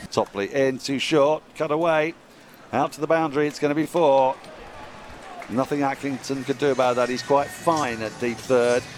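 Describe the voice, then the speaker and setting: A fairly high-pitched man delivers his words at a moderate speed, with noticeable noise in the background. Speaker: cricket commentator. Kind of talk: live ball-by-ball cricket commentary. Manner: excitable, halting bursts when drama unfolds.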